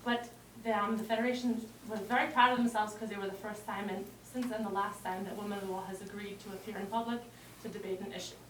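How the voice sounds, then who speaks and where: A woman talks at a very fast pace in a medium pitch with monotone, flat intonation and big swings in loudness, amid audible room echo and noticeable background noise. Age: 20s. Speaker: activist group director. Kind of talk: public speech. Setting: talk with audience. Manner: halting.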